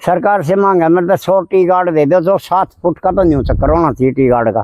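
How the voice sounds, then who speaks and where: Over noticeable background noise, a man with a high voice speaks with very even loudness and ordinary pitch variation. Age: 60s. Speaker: village environmentalist, tree planter. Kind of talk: interview.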